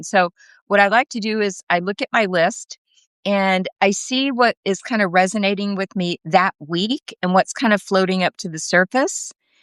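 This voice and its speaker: A woman talks at a fairly slow pace in an unremarkable speaking voice. Her pitch is medium, with ordinary variation. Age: 60s. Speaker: podcast host with cancer. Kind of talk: casual chat. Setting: live video stream.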